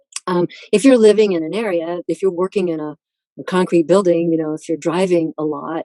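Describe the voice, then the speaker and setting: A woman's fairly low voice with a dark, mellow tone. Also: dry, close sound with no echo. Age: 70s. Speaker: author and speaker on diet and diabetes. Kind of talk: interview.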